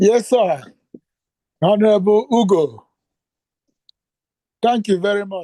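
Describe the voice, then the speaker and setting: A high-pitched man with a dark, mellow tone and ordinary pitch variation, fairly slow, with long, frequent pauses. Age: 70s. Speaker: caller at a question and answer session. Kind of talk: question and answer session. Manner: halting.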